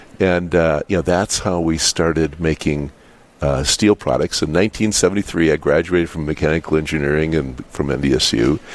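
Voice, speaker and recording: A man speaks in a very deep, low voice at a moderate pace. There is noticeable noise in the background. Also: ordinary pitch variation. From US Upper Midwest, North Dakota. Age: 60s. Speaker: business owner. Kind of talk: radio interview. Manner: halting, many fillers and repetitions.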